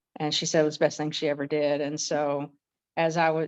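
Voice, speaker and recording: A woman's very deep, low voice at a moderate pace, with monotone, flat intonation and a quiet background. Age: 60s. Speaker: military veteran and migraine program member. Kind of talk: testimonial interview. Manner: halting.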